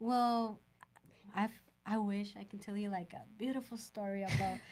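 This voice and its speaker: A woman with a Mexican accent, somewhat breathy, at a moderate pace with fairly even intonation. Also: medium pitch for a woman. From Sonora, Mexico. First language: Spanish. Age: 20s. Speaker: home inspector. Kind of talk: podcast interview. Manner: slightly halting, non-native phrasing.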